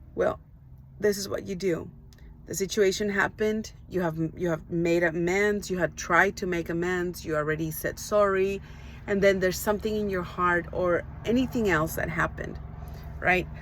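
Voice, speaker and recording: A woman speaks at a moderate pace in a Spanish accent. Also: medium pitch for a woman. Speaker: life coach. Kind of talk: motivational talk. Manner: hesitant, many fillers.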